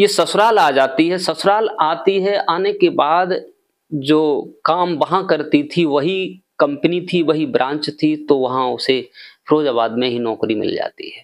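A man talks fairly slowly with ordinary pitch variation, the background quiet. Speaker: storyteller vlogger. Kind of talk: storytelling narration. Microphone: lapel.

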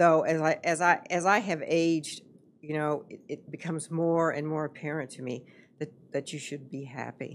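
This woman speaks with a very deep, low pitch. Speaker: podcast guest, host's mother. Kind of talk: interview answer. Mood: reflective, earnest. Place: studio. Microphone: studio mic.

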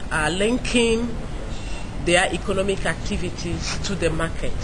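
A woman's fairly low voice with ordinary pitch variation, against noticeable background noise. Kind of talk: interview answer. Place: garden.

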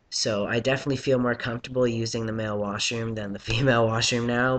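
A man speaks with fairly even intonation. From Canada. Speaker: vlogger documenting transition. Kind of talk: casual vlog monologue. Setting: home video blog. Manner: casual, filler-heavy, laughs often. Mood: calm, reflective. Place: home room. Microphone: webcam.

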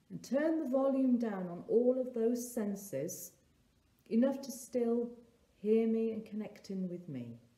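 Soft-spoken and gentle, warm in tone, a woman talks at a fairly slow pace with ordinary pitch variation amid audible room echo. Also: big swings in loudness. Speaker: therapist and meditation guide. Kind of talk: guided meditation. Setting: solo recording for online video. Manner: slow, soft, calming and gentle with long pauses; warm, nurturing, inviting. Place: home room. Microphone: phone near.

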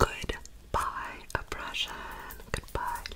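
A woman whispers in a soft-spoken manner. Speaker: content creator. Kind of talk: soft casual ASMR-style chat. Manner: soft whispered reading. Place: home room. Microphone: phone near.

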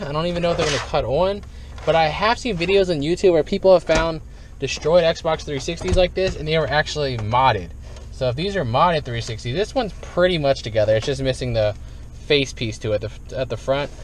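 A man at a fairly quick pace, in a dry sound with no echo and light background noise. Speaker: dumpster diving vlogger. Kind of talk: casual vlog chat. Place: car. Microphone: phone near.

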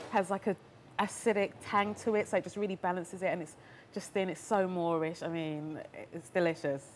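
A woman at a fairly quick pace, with ordinary pitch variation and light background noise. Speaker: guest. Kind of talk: interview answer. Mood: enthusiastic, smiling, laughing. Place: bar. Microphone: lapel.

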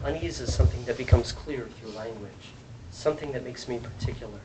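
A man speaks with lively intonation at a moderate pace. Noticeable background noise runs underneath. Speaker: translator. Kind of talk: poetry reading.

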